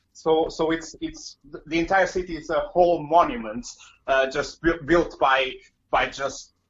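A man speaks with a Portuguese accent. His pitch varies in an ordinary way. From Portugal, Porto. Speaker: comedian. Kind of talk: casual interview. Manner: halting.

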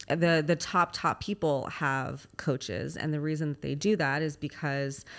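A woman with a Californian accent speaks in a very deep, low pitch, recorded very cleanly against a silent background. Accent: Californian American. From Los Angeles, US. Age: 30s. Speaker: fitness competitor and coach. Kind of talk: casual interview.

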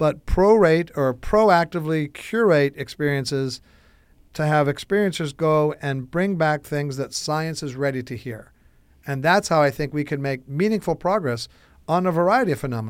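In an ordinary speaking voice, a man with an American accent talks at a fairly high pitch and a moderate pace. His pitch varies in an ordinary way, and the recording is very clean with a silent background. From US Midwest, Chicago. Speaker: entrepreneur, son of a UFO researcher. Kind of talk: casual interview.

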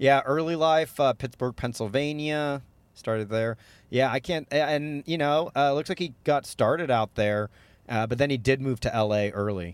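A man with a plain, everyday voice talks at a moderate pace, medium pitch and ordinary pitch variation, on a very clean recording with a silent background and a dry, close sound with no echo. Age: 30s. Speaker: stand-up comedian. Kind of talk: casual chat.

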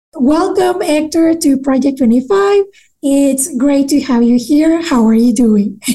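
In a Mexican accent, a woman speaks at a very slow pace. Her pitch is high and her tone dark and mellow. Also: lively intonation, very even loudness. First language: Spanish. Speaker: podcast host. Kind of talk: interview. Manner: giggly, laughs often.

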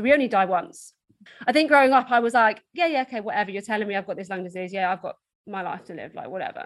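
A woman with an Essex accent speaks with lively intonation. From Essex, England. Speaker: motivational speaker and endurance athlete. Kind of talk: casual interview chat.

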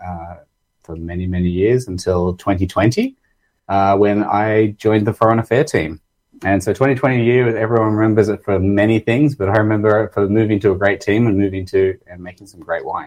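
A man with an Australian accent speaks at a moderate pace and fairly low pitch, with big swings in loudness. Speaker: winemaker. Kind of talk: casual interview chat.

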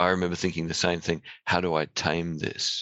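This man has a very deep, low voice and an Australian accent, talking at a moderate pace in a flat monotone. The sound is dry and close with no echo, over a quiet background. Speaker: podcast host. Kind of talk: interview. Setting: studio.

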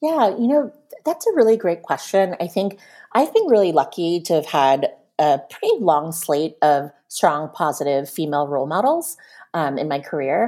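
A woman with an American accent, fairly low pitch, dark and mellow tone, lively intonation and a moderate pace, in a very clean recording with a silent background. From Pennsylvania, US. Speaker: marketing executive. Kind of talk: panel interview, personal storytelling.

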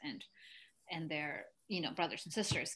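The tone is bright and sharp, the pace moderate, and the background quiet. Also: woman. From Mexico, came to US at nine. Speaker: actress and immigrant advocate. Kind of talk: casual interview chat.

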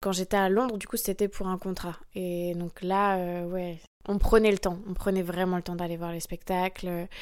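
Against a silent background on a very clean recording, a woman speaks at a moderate pace. Her intonation is monotone and flat. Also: medium pitch for a woman. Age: 20s. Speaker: professional dancer. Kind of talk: interview.

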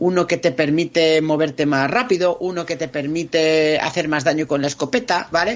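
A high-pitched male voice with ordinary pitch variation. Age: 40s. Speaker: video game commentator. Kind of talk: casual chat. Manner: animated.

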